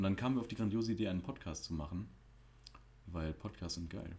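A man speaks at a very fast pace with a fairly low pitch and lively intonation. His tone is dark, mellow and somewhat breathy. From Germany. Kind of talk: casual chat. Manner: animated.

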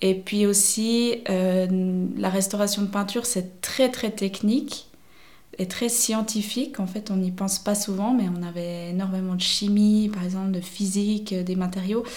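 With audible room echo, a woman speaks at a fairly slow pace in a somewhat breathy voice with fairly even intonation. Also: medium pitch for a woman. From French-speaking Switzerland, near Vevey. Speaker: paint shop owner, self-employed entrepreneur. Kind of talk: interview. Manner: hesitant, many fillers.

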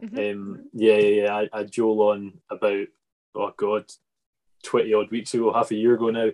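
In a Scottish accent, a man speaks with a fairly low pitch and monotone, flat intonation. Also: moderate pace. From Scotland. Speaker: farming podcast host. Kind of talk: casual interview. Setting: video call.

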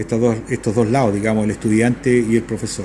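A man speaks with monotone, flat intonation over noticeable background noise. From central Chile (Talca). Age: 60s. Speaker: university rector. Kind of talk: radio interview. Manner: halting, many fillers and repetitions.

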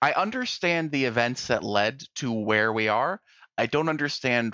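An ordinary speaking voice moves at a moderate pace over a quiet background, with a dry, close sound and no echo. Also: man. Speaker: podcast host, horror movie reviewer. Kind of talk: casual chat, movie review podcast. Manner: joking, sometimes stumbling over words.

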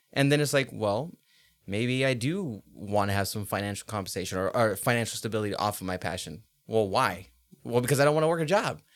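In a plain, everyday voice with an American accent, the speaker moves at a fairly quick pace with lively intonation on a very clean recording with a silent background. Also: man, medium pitch for a man. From Los Angeles, California. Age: 20s. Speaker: rapper and music producer. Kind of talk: casual interview.

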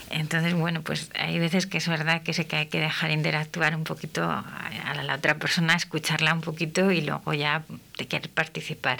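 A woman with a very deep, low pitch and a bright, sharp tone speaks in a monotone, flat way with vocal fry, at a moderate pace and with hardly any pauses. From Castile, Spain. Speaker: speech therapist and radio host. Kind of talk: radio talk show. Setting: radio studio.

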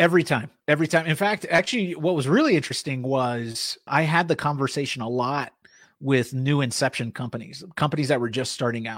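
A normal speaking voice moves at a fairly quick pace. Its pitch varies in an ordinary way. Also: man, fairly high pitch for a man. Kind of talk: casual chat.

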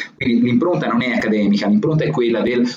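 A man with a Tuscan accent speaks at a medium pitch with lively intonation. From Florence, Tuscany. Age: 20s. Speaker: blogger and language writer. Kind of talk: interview. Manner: halting, many fillers and repetitions.

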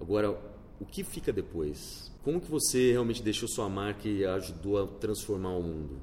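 A man with a fairly low, dark, mellow tone sounds somewhat breathy. His intonation is lively, and his pace moderate. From Brazil, Campinas (interior of São Paulo state). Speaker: entrepreneur. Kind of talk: interview. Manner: animated.

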